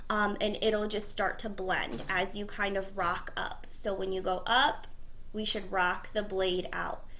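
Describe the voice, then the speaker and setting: A woman's fairly slow speech is heard with room echo and noticeable background noise. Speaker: cosmetology teacher. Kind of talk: tutorial.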